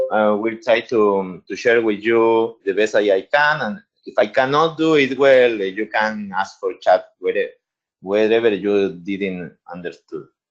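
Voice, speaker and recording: Speaking at a fairly slow pace, a man with a medium-pitched voice talks with a Spanish accent. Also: ordinary pitch variation. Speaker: infectious disease doctor. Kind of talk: webinar presentation. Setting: webinar.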